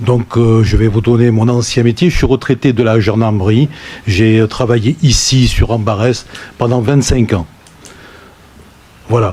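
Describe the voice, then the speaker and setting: Medium-pitched male voice at a fairly slow pace, with fairly even intonation, very even loudness, long, frequent pauses and noticeable background noise. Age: 60s. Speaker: deputy mayor, retired gendarme. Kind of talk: council meeting self-introduction.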